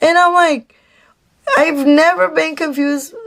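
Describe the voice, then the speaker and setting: Speaking fairly slowly with a Mexican accent, a woman uses a high pitch, an animated tone and lively intonation. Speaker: vlogger. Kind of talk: storytime monologue.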